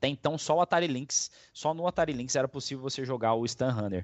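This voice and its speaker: With an unremarkable speaking voice, this man talks at a moderate pace, his fairly high pitch carrying ordinary pitch variation. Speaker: podcast host. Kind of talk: casual chat.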